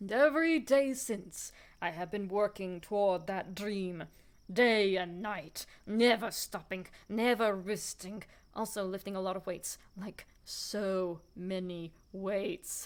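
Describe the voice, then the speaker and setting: A female-sounding put-on character voice at a middle pitch moves at a fairly slow pace. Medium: solo performance. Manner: boastful, self-absorbed.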